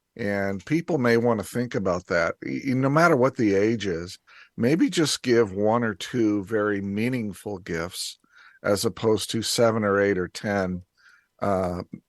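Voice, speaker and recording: A man talks at a fairly slow pace in an ordinary speaking voice, fairly low in pitch with ordinary pitch variation. The background is quiet and the sound dry and close, with no echo. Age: 60s. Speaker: business commentator. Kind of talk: casual chat.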